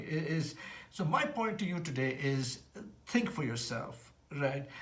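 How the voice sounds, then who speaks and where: Amid noticeable background noise and audible room echo, a man talks with lively intonation. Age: 60s. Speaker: vlogger, former banker. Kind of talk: casual monologue vlog. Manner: halting.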